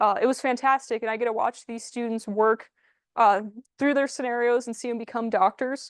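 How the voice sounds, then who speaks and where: Loud and high-pitched, a woman talks at a fairly quick pace in a dry, close sound with no echo against a quiet background. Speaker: IT and cybersecurity specialist. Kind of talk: presentation to a community group. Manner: animated.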